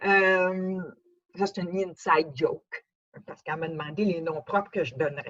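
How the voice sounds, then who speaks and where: A woman speaks with a Quebec accent. Her intonation is lively. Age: 70s. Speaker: cochlear implant user giving a talk. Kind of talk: testimony. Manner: halting, many hesitations.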